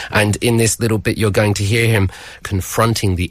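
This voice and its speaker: A somewhat breathy man, fairly low in pitch, with a British accent, on a very clean recording with a silent background. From Britain. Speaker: university lecturer. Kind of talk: radio book segment.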